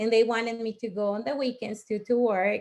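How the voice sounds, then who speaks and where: A woman with a Mexican accent speaks at a fairly high pitch against a quiet background. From Mexico. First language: Spanish. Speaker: network marketing leader. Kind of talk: testimony.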